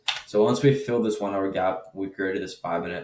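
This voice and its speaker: Here a man talks at a very fast pace. His pitch is fairly low, with ordinary variation. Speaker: day trader. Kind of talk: trade recap commentary. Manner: casual, filler-heavy; talking low.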